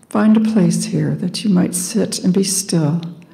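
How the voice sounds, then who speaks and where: Speaking very slowly in a calm tone, a woman shows ordinary pitch variation amid noticeable background noise. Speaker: meditation guide. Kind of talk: guided meditation. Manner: slow, calm.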